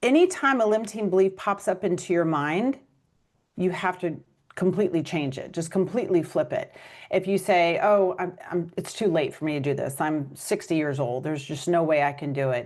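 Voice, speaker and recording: Speaking at a moderate pace, a woman uses an ordinary speaking voice with lively intonation. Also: fairly low pitch for a woman, quiet background. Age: 50s. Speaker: author and podcast host. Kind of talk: interview.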